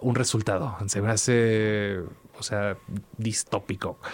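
A man is speaking. His pace is fairly slow. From Mexico, Veracruz. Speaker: musician. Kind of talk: interview. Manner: hesitant repetitions, fillers.

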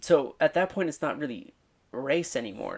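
An American accent on a very clean recording with a silent background. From Southern California (Thousand Oaks area). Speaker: podcaster and YouTuber. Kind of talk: solo monologue podcast. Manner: halting, many fillers.

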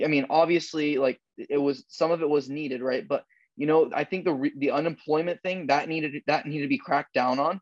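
Heard dry and close with no echo, a man uses a plain, everyday voice at a fairly high pitch, a moderate pace and ordinary pitch variation. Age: 20s. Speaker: podcast co-host, real estate worker. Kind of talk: casual chat.

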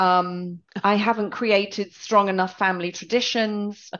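An English accent over a quiet background. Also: woman. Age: 50s. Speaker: podcast co-host. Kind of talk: casual chat.

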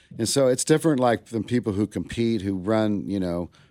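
Recorded very cleanly against a silent background with a dry, close sound and no echo, a man with an American accent has an ordinary speaking voice, fairly low in pitch, with ordinary pitch variation at a moderate pace. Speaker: barbecue restaurant owner. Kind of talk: casual chat.

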